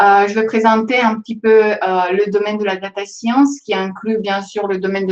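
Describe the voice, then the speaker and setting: Moderately paced speech from a woman, medium in pitch and fairly even in intonation. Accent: non-native. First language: not French (speaking French). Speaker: data scientist. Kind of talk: presentation to students. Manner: hesitant, many fillers.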